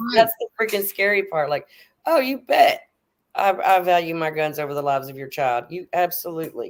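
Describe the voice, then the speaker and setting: With a Texan accent, a woman speaks fairly quickly at a fairly low pitch. Her intonation is lively, and her loudness swings widely. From Texas. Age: 50s. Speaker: atheist guest. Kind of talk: casual chat. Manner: animated.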